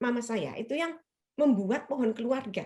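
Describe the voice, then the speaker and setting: A woman's high pitch. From Indonesia, Surabaya (Chinese-Indonesian). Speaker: lecturer, writer and feminist. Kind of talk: webinar interview. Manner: casual, conversational with fillers.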